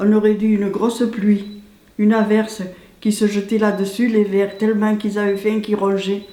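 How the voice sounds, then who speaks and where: Delivered at a moderate pace, the intonation stays monotone and flat. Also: woman, medium pitch for a woman. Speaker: village resident. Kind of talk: interview answer. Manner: casual, reminiscing.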